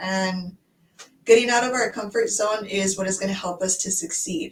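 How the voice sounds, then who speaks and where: A woman with an American accent and an unremarkable speaking voice speaks at a moderate pace and medium pitch, with ordinary pitch variation. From United States. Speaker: online business owner. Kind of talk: casual chat.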